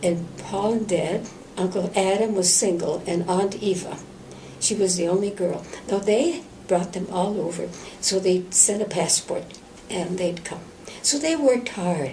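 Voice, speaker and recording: With an Upper Midwest accent, a woman speaks at a fairly slow pace in a medium pitch with ordinary pitch variation, over noticeable background noise. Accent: Upper Midwest American. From central Minnesota. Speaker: Benedictine nun. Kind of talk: oral history interview answer.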